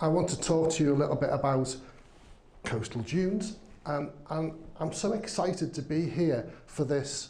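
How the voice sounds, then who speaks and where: Amid noticeable background noise and audible room echo, a man with a Liverpool accent speaks in a fairly high pitch with ordinary pitch variation and long, frequent pauses. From northern England, Liverpool. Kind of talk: conference talk. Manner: slow, deliberate; hesitant, many fillers.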